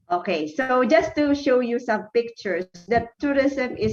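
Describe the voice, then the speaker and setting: With music in the background, a woman speaks at a fairly slow pace and a fairly high pitch with lively intonation. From Philippines. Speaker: university academic. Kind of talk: conference presentation. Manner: halting.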